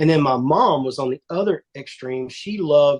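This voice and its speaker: Heard in a dry, close sound with no echo, a man with a fairly high pitch speaks with a Texan accent. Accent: Texan accent, drawl. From Northeast Texas. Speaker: country music singer. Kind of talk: casual interview.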